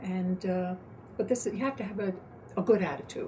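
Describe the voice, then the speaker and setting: There is noticeable background noise behind this woman. She speaks at a moderate pace in a medium pitch. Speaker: poll worker. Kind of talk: interview answer.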